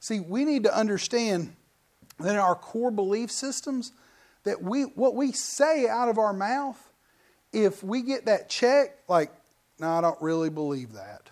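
Animated and lively in intonation, a man speaks in a high pitch at a fairly slow pace. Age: 40s. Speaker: pastor. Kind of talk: sermon. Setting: church.

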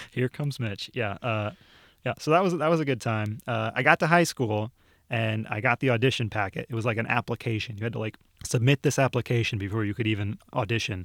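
Speaking at a very fast pace with a Midwestern American accent, a man uses a medium pitch and ordinary pitch variation in a very clean recording with a silent background and a dry, close sound with no echo. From northern Ohio. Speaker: museum video producer. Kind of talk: casual interview.

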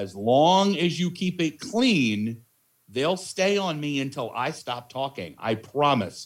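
On a very clean recording with a silent background, a man speaks at a very slow pace with lively intonation. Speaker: in-arena announcer. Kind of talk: casual chat. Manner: loud.

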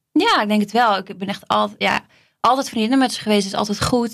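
At a medium pitch and moderate pace, a woman uses an ordinary speaking voice with fairly even intonation. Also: very clean recording, silent background. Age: 30s. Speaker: flight attendant. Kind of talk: casual chat.

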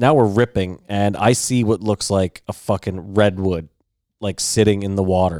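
A man mumbles at a moderate pace, his pitch fairly low and his tone dark and mellow. The recording is very clean and dry, close with no echo and a silent background. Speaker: podcast co-host. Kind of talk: casual chat. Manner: mumbling.

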